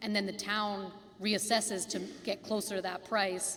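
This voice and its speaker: Over noticeable background noise, a woman speaks at a medium pitch and fairly slow pace. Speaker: housing cooperative advisor. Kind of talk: community meeting Q&A. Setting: school cafeteria meeting.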